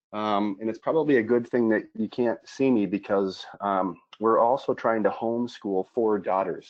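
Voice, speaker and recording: The speech, in an American accent, moves at a moderate pace. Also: man. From Minnesota, US. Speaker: former pro football player, speaker. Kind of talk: webinar talk.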